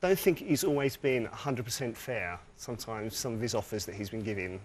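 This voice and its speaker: A man with a British accent talks very fast, his intonation lively and his loudness swinging widely. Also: medium pitch for a man. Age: 40s. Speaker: game show contestant. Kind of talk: game show chat. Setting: TV studio with audience.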